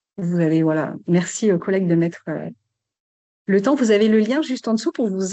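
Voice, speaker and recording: This woman speaks at a medium pitch. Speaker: sports club support advisor. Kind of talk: webinar presentation. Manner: fast.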